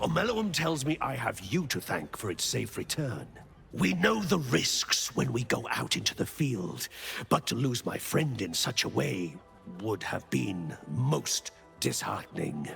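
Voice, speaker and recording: A put-on character voice moves at a moderate pace. Music plays clearly in the background. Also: man, medium pitch for a man. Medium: video game. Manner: courteous, earnest.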